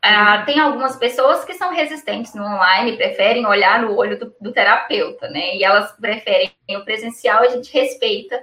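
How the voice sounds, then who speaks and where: Hardly pausing, a woman with an unremarkable speaking voice talks at a moderate pace with a fairly high pitch and ordinary pitch variation. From Brazil, Minas Gerais. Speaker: perinatal psychologist. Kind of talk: interview on live stream.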